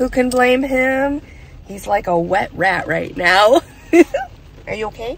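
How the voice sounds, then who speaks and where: A woman speaks at a fairly slow pace with lively intonation. The sound is dry with no echo, and there is light background noise. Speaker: travel vlogger. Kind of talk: casual vlog chat. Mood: cheerful despite bad weather. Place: car. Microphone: phone near.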